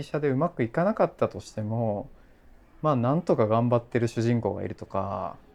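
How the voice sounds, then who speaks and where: A man's unremarkable speaking voice at medium pitch, with lively intonation over a quiet background. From Japan, Kochi. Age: 30s. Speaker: podcast host and blogger. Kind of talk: casual chat.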